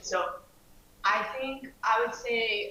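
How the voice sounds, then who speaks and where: Fairly even intonation from a woman with a non-native accent. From outside the US. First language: not English. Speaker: graduate student, former grad slam competitor. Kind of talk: panel discussion. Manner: halting, many fillers.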